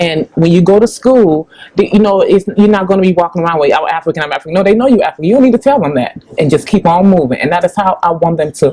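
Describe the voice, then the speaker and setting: Over noticeable background noise, a woman with a Chicago accent talks at a very fast pace in a medium pitch with lively intonation. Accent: south side Chicago. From Chicago, US (Ghanaian parents). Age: 40s. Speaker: public relations company founder. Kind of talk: interview.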